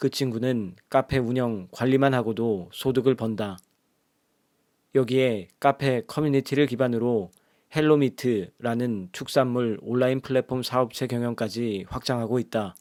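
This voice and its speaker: On a very clean recording with a silent background, an ordinary speaking voice delivers fairly even intonation at a fairly slow pace. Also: man, medium pitch for a man. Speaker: audiobook narrator. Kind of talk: audiobook reading. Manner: soft, ASMR-style.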